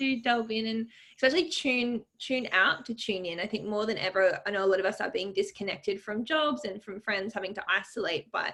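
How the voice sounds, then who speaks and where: Hardly pausing, a woman with a fairly high pitch and a bright, sharp tone speaks at a fairly quick pace with ordinary pitch variation. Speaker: author. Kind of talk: interview. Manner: fast.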